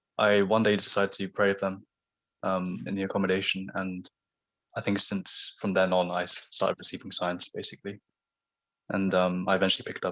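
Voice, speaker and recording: Over a quiet background, a man with a southern English accent talks at a fairly quick pace in a very deep, low pitch with monotone, flat intonation. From southern England, Surrey. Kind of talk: radio interview.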